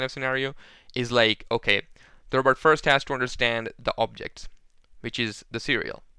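A man's bright, sharp tone sits at a medium pitch, moving at a moderate pace with fairly even intonation on a very clean recording with a silent background. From Pakistan. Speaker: robotics researcher. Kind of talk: interview.

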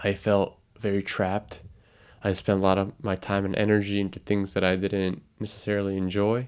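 Fairly quick in pace, a man speaks with monotone, flat intonation. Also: fairly low pitch for a man. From Japan, Tokyo. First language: Japanese. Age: 20s. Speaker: podcast host. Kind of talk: podcast introduction monologue. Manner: halting.

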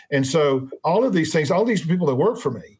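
A man's voice, somewhat breathy, comes through a very clean recording with a silent background. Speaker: sales trainer and consultant. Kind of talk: interview. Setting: studio.

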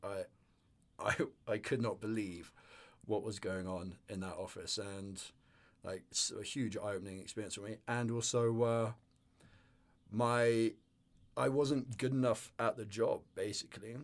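Speaking with an English accent, a man uses a medium pitch and a fairly slow pace, leaving long, frequent pauses. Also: fairly even intonation. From northern England. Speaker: business co-founder and sailing instructor. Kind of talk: casual interview chat.

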